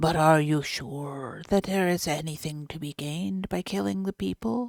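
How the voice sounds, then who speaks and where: A woman puts on a character voice at a very deep, low pitch. She speaks at a moderate pace with very wide pitch swings. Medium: read story. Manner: cold, deliberate.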